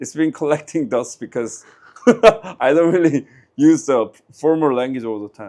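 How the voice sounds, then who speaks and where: In a Korean accent, a man with a fairly high pitch speaks at a moderate pace, his pitch swinging very widely and his loudness shifting a lot. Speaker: interviewee. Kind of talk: street interview. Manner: halting.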